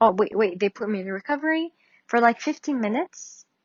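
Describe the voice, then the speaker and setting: A woman with a non-native accent and a fairly high pitch. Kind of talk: casual talk to camera. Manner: hesitant, many fillers.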